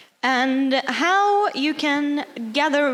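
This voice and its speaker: Over noticeable background noise, a woman with a Norwegian accent speaks at a high pitch. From Norway. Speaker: cosplayer. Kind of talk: workshop talk.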